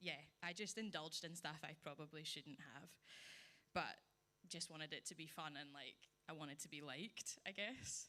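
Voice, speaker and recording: This woman's tone is bright and sharp, set at a very deep, low pitch. Her pitch variation is ordinary. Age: 20s. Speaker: church member giving testimony. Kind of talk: testimony. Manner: slow, deliberate; reading from phone.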